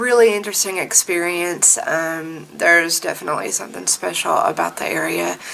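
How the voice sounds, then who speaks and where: Light background noise sits behind the speech. A woman talks at a moderate pace. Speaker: vlogger. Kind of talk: casual vlog storytelling. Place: home room. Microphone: phone near.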